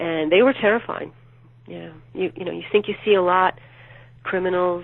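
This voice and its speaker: A woman speaks in a plain, everyday voice at a medium pitch and moderate pace. Her pitch variation is ordinary, while her loudness swings widely. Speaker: true crime author. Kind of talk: interview answer.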